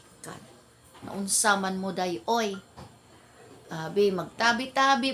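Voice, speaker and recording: With ordinary pitch variation, a woman talks in an animated tone. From Philippines, Ilonggo-speaking. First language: Hiligaynon (Ilonggo) (speaking Tagalog). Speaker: vlogger. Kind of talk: casual storytelling vlog.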